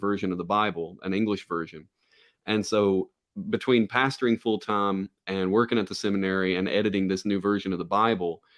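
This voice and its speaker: Very fast, fairly even speech from a man with a fairly low pitch. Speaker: pastor and seminary teacher. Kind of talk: casual chat. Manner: halting, with repetitions.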